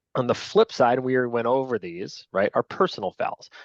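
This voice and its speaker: A man with a Long Island accent talks at a fairly quick pace in a medium pitch, recorded dry and close with no echo over a quiet background. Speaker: lacrosse officials trainer. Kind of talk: training lecture. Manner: casual, conversational.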